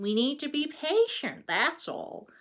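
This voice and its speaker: Using a put-on character voice, a woman speaks at a high pitch and a fairly slow pace. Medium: read story.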